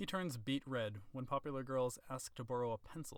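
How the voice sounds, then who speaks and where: In an ordinary speaking voice, the speaker moves along at a fairly quick pace. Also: man. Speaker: author reading own novel. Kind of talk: audiobook narration.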